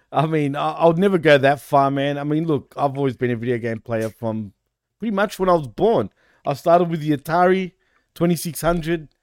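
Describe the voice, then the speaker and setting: In a very clean recording with a silent background and a dry, close sound with no echo, a man with a fairly high pitch talks at a fairly quick pace in an unremarkable speaking voice with ordinary pitch variation. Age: 40s. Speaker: wrestling podcast host. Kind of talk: casual chat.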